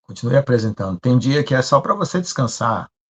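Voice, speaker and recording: A somewhat breathy man talks at a fairly quick pace, with a dry, close sound and no echo. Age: 60s. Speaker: pastor. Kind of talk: sermon. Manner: conversational.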